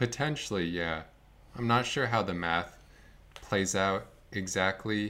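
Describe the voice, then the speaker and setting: A fairly low-pitched man with an American accent and a bright, sharp tone, at a fairly slow pace, with ordinary pitch variation and long, frequent pauses. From US Northeast, northern Vermont. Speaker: competitive card game player. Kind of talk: casual chat.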